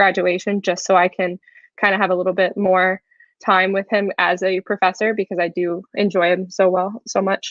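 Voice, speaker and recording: Her medium-pitched voice moves at a moderate pace, and this woman keeps a monotone, flat intonation. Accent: American. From Texas (Frisco). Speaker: university student. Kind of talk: panel discussion.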